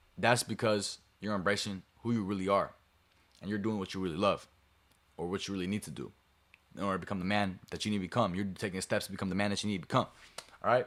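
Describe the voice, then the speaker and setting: A man's fairly low voice, very fast yet broken by long, frequent pauses, with fairly even intonation on a very clean recording with a silent background. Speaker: streamer. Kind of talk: motivational talk to stream chat. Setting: live stream to camera.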